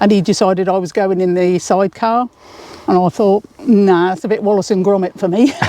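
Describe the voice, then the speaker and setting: A woman's medium-pitched voice comes through with noticeable background noise behind it. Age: 60s. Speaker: motorcyclist and taxi driver. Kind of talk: interview. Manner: animated.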